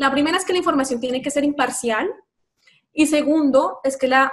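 A woman's voice with ordinary pitch variation. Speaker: lawyer. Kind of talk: interview.

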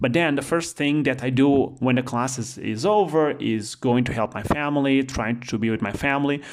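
With a Portuguese accent, a man speaks at a moderate pace and medium pitch, with ordinary pitch variation and hardly any pauses. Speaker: economics professor. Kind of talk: interview.

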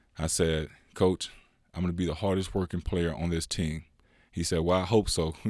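In an American accent, a man speaks with a very deep, low pitch and a flat monotone at a moderate pace. Long, frequent pauses break up his speech, and the recording is very clean with a silent background. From California, Inland Empire. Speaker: former pro basketball player and youth coach. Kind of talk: casual interview.

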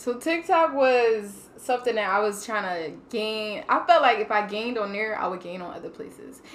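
With noticeable background noise, a woman speaks at a moderate pace with hardly any pauses, using lively intonation, a fairly high pitch and big swings in loudness. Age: 20s. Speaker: podcast guest. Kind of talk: casual chat. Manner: animated.

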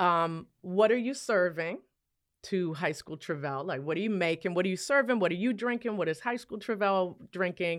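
At a moderate pace, a woman with a medium-pitched, normal speaking voice and lively intonation is heard in a very clean recording with a silent background. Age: 50s. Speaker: podcast host. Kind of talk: interview conversation.

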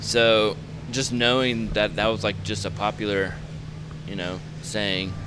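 A man at a fairly slow pace with long, frequent pauses, fairly low pitch and ordinary pitch variation, amid noticeable background noise and audible room echo. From Georgia, Metro Atlanta (Gwinnett County). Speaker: clothing company founder, graphic designer. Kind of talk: interview.

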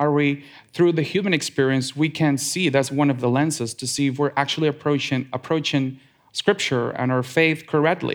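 A man speaks at a moderate pace with a fairly high pitch, in a very clean recording with a silent background. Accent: Spanish. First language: Spanish. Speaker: lay church speaker. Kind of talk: sermon. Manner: reading from a script, some hesitations and repeats.

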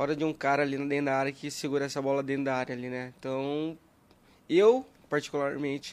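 A man talks at a moderate pace with monotone, flat intonation. The recording is very clean, with a silent background. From Brazil, interior of São Paulo state. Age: 20s. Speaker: youth football coach. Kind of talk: casual podcast interview. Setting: studio.

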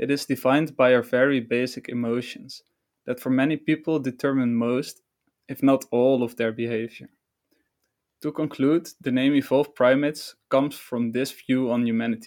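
Speaking at a moderate pace with a non-native accent, a man holds a medium pitch and a monotone, flat intonation in a very clean recording with a silent background. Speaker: podcast host. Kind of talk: scripted-style podcast introduction.

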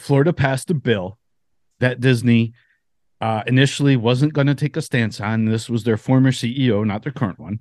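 A man with medium pitch and a plain, everyday voice speaks at a fairly quick pace with ordinary pitch variation, the sound dry and close with no echo over a quiet background. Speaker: podcast host. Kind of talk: casual chat.

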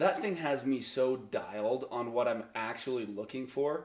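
This man has a medium-pitched voice with vocal fry and an American accent. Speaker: podcast guest. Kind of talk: casual chat.

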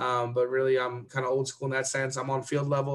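A man's monotone, flat intonation. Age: 30s. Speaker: athletic director and soccer coach. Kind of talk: casual interview.

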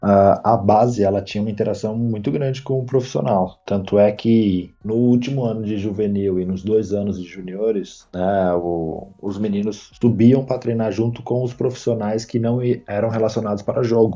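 A man's fairly low, dark and mellow voice at a moderate pace, with fairly even intonation and hardly any pauses. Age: 30s. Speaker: former footballer. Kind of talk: interview. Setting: studio.

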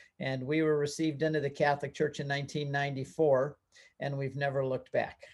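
A man's somewhat breathy, fairly high voice at a fairly quick pace, with fairly even intonation and a very clean recording over a silent background. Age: 60s. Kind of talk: interview.

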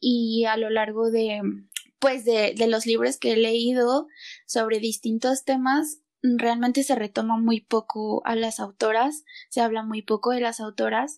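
At a fairly slow pace, a woman speaks in a fairly high pitch with monotone, flat intonation, the sound dry and close with no echo. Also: very clean recording, silent background. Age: 20s. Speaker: podcast co-host, student. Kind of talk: casual chat.

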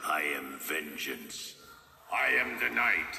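A man speaks very slowly in a put-on character voice. There is a slight echo. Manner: grim, menacing.

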